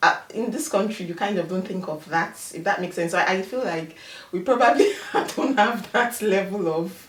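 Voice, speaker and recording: A woman with a Nigerian accent speaks at a moderate pace, with audible room echo and noticeable background noise. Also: medium pitch for a woman, ordinary pitch variation. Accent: Nigerian accent, firm. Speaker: immigrant professional. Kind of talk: interview.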